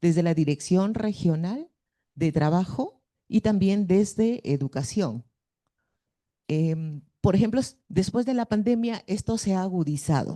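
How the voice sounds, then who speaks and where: A woman with a northern Peruvian accent speaks at a fairly slow pace in a medium pitch, with lively intonation and a dark, mellow tone, over a quiet background. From northern Peru (Piura). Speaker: schoolteacher. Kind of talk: audience question at a conference.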